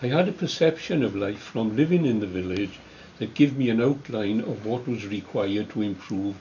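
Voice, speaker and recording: A man with a Welsh accent speaks in a fairly low, somewhat breathy voice over noticeable background noise. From South Wales valleys. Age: 80s+. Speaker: retired trade unionist. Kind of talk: oral history interview. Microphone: camera far.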